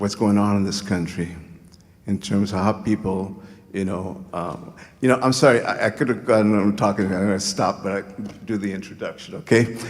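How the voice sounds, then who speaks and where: Fairly even intonation in a man's fairly low-pitched voice, along with audible room echo. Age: 70s. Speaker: community activist. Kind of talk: public speech. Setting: stage with audience. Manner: halting.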